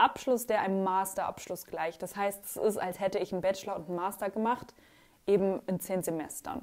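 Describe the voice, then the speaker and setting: Her intonation fairly even, a woman talks at a moderate speed. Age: 20s. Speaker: YouTuber and art student; vlogger. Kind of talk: casual Q&A vlog. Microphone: new microphone, sound problems in places.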